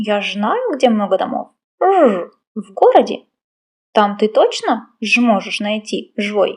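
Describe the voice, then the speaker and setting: Delivered in a put-on character voice at a moderate pace, the speech has lively intonation and long, frequent pauses. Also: woman, fairly high pitch for a woman. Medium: read story. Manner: buzzing "zh" sounds.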